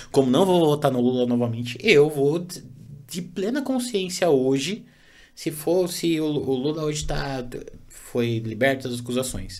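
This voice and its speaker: A man's fairly high, lively voice at a fairly slow pace, with audible room echo. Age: 30s. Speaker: podcast host. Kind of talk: casual chat.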